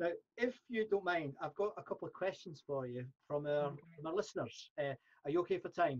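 A man with a Scottish accent speaks at a high pitch and fairly quick pace, using lively intonation, over a quiet background. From Scotland. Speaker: podcast host. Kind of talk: interview. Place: home room. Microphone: studio mic.

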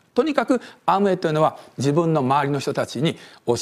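A man speaks very fast, with a quiet background behind him. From Japan. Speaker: business presenter. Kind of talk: sales pitch. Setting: home, recorded for DVD. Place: home room.

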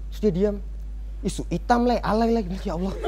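Over light background noise, a man talks at a very fast pace. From Buton, Southeast Sulawesi; Southeast Sulawesi, Indonesia. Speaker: stand-up comedian. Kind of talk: stand-up comedy set. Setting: stage with live studio audience. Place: cafe. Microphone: handheld.

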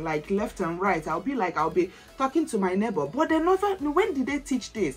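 A woman at a moderate pace, faint music in the background. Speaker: lifestyle vlogger. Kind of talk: casual vlog chat. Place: home room. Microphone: camera far.

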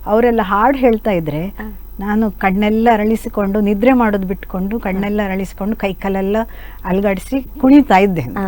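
A woman of medium pitch has an ordinary speaking voice with ordinary pitch variation. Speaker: radio singer and Yakshagana artist. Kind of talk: interview.

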